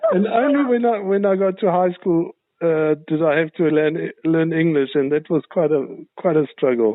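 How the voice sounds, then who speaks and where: At a moderate pace, a man with a South African accent speaks in a high pitch with lively intonation. His loudness stays very even. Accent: sounds Zulu. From South Africa, northern KwaZulu-Natal. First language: German. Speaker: show host. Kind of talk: interview.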